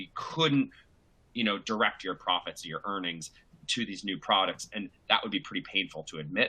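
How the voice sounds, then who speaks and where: A man with an American accent, bright and sharp in tone, at a fairly quick pace. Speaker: asset manager, panelist. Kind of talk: panel discussion. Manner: halting.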